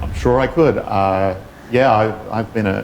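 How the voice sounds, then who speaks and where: Over noticeable background noise, a man with an Australian accent talks at a moderate pace. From Western Australia, Perth. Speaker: engineer. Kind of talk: talk with interview.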